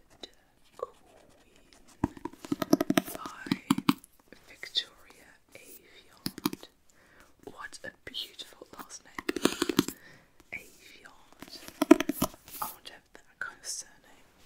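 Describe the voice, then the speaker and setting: A whisper at a very slow pace, broken by long, frequent pauses, over noticeable background noise. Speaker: ASMR creator. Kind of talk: casual talk to camera.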